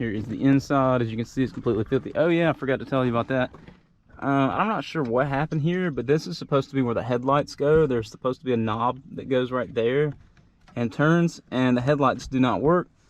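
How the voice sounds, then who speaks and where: A man at a very fast pace, medium in pitch, with ordinary pitch variation. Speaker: DIY video maker. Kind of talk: casual vehicle walkthrough. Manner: casual, many fillers.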